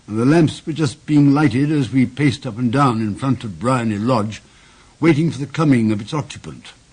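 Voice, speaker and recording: Lively intonation and a fairly quick pace in a plain, everyday voice. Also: man. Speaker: actor. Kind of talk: narration.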